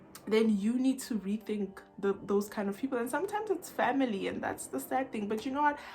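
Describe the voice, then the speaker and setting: Over noticeable background noise, a woman with a fairly high pitch speaks with hardly any pauses. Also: lively intonation, fairly quick pace. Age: young. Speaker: YouTuber, self-help vlogger. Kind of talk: personal vlog talk to camera. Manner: loud, lively.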